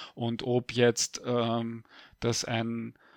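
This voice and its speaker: On a very clean recording with a silent background, a man at a medium pitch sounds dry and close with no echo. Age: 50s. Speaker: historian. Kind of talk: interview. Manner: hesitant with many fillers.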